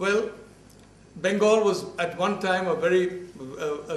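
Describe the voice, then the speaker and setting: A man with a Bombay accent and a high pitch, plus audible room echo. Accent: Bombay Indian English accent, can't shake it. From India (Bombay). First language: Malayalam. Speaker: professor. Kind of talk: lecture. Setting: university talk with audience. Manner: halting, with false starts and fillers.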